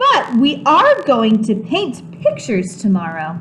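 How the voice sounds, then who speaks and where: A woman's put-on character voice, fairly high and fairly slow, with very wide pitch swings over clear background noise. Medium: read story.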